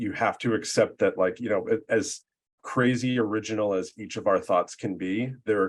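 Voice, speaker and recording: A man with an American accent speaks at a moderate pace against a quiet background. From Boston area, Massachusetts. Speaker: marketing consultant and content writer. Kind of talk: interview. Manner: halting, many fillers and restarts.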